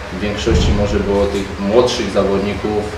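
Man with a Polish accent at a moderate pace, amid noticeable background noise and audible room echo. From Poland. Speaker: club official at football press conference. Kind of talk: press conference. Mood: calm, measured. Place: meeting room.

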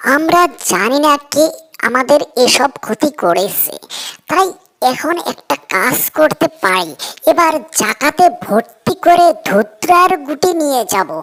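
In a cartoonish character voice, a woman speaks fairly slowly at a high pitch with very wide pitch swings, the sound dry and close with no echo. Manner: plaintive.

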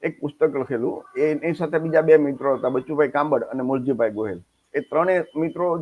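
An ordinary speaking voice from a man, fairly high in pitch, with ordinary pitch variation. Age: 60s. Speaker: social reformer, channel host. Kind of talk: personal monologue to camera.

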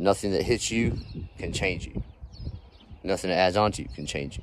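At a fairly quick pace, a man talks with a very deep, low pitch, in a dry sound without echo over light background noise. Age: 40s. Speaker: landscaping business owner and vlogger; vlogger. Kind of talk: casual vlog talk to camera. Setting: outdoors on job site. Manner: energetic. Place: garden. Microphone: phone near.

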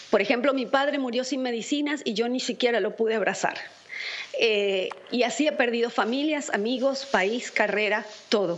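The woman's high-pitched voice shows ordinary pitch variation and keeps a moderate pace. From Venezuela. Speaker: Venezuelan opposition activist; guest. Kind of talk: political commentary. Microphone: video call.

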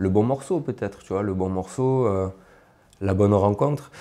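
This man speaks with a Marseille accent in a fairly low voice. His tone is dark and mellow, with ordinary pitch variation. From Marseille suburbs, southern France (Martigues); southern France. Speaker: rapper; guest. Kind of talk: interview. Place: home room. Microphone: lapel.

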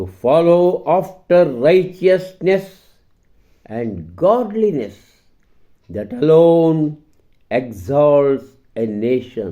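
A man's fairly high voice with a dark, mellow tone, very wide pitch swings and big swings in loudness. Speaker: vlogger reading a prayer aloud. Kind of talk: fervent prayer read aloud in English, then repeated in Kannada. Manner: earnest, devout, solemn; measured, pleading, with an imploring tone.

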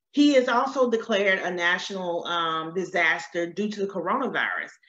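A woman with an American accent and lively intonation at a moderate pace, light background noise and audible room echo. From US South. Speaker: loan consultant. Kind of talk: webinar presentation. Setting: live stream. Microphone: webcam.

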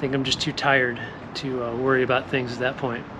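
A man speaks at a very fast pace. Noticeable background noise runs under his voice. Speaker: fitness coach. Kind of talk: casual vlog chat. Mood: candid, admits anxiety. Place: garden. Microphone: earbuds.

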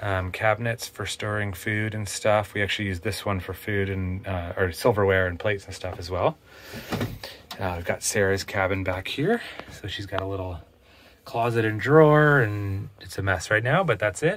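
Over light background noise, a man with an unremarkable speaking voice talks at a moderate pace and a fairly low pitch. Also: ordinary pitch variation, big swings in loudness. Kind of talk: casual tour narration. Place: boat. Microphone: phone near.

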